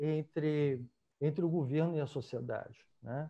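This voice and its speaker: This man speaks at a fairly high pitch with fairly even intonation. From Rio de Janeiro, Brazil. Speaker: former local government coordinator, council candidate. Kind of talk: online interview conversation. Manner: halting, many fillers.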